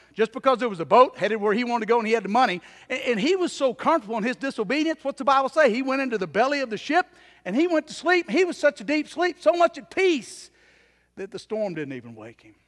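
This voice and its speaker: A man talks very fast at an extremely high pitch, with lively intonation and big swings in loudness, in a dry, close sound with no echo. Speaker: preacher. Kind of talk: sermon. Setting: church. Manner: earnest, exhorting, direct appeals to the congregation; conversational, with some hesitations and repeats.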